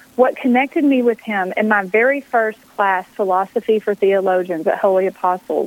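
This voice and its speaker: A woman has a plain, everyday voice with an American accent and fairly high pitch. Her pace is moderate and her pitch variation ordinary, with a dry, close sound and no echo. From Texas. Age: 50s. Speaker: author and speaker. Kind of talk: radio interview.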